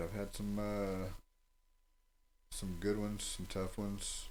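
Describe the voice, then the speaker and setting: A man speaks in a flat monotone at a fairly low pitch, with long, frequent pauses. The room echo is audible. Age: 30s. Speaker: MMA fighter and coach. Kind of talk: casual interview chat.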